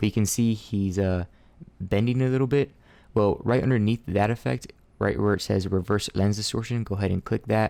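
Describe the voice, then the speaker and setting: On a very clean recording with a silent background, a man speaks at a fairly low pitch with a dark, mellow tone, very even loudness and ordinary pitch variation. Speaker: video editing tutorial creator. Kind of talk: tutorial. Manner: fast; casual, some hesitations.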